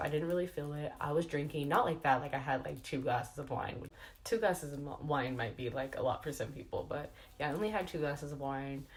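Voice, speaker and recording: Amid audible room echo, a woman speaks at a fairly quick pace in a very deep, low pitch with ordinary pitch variation. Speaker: beauty and lifestyle vlogger. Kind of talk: casual vlog update. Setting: at home. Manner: chatty, fillers like um and like.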